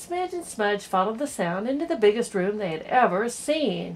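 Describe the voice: What you hear is someone doing plain reading aloud.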